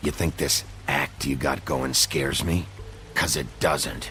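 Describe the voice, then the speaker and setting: Over clear background noise, a man puts on a character voice with a very deep, low pitch and a fairly slow pace. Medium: machinima. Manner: low, terse.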